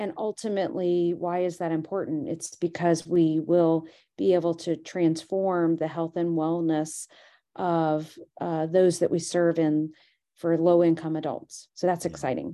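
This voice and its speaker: In a dark, mellow tone, the voice moves at a fairly slow pace with flat, monotone intonation. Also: woman, fairly low pitch for a woman. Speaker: company president and CEO. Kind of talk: casual interview chat.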